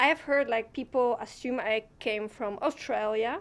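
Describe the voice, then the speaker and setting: A woman speaks in a high voice with ordinary pitch variation, recorded very cleanly against a silent background. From Poland and Netherlands. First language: Polish. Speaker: community team member. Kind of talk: casual chat. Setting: live stream.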